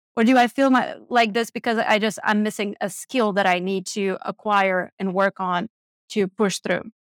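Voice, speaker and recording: A woman with a non-native accent and a fairly high pitch, moderate pace and ordinary pitch variation, in a very clean recording with a silent background and a dry, close sound with no echo. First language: not English. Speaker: money coach and investor. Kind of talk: casual interview.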